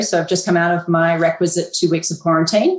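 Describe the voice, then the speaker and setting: The speaker has a slight Australian accent and talks at a fairly quick pace. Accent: slightly Australian-sounding. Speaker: mining company executive. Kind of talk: interview.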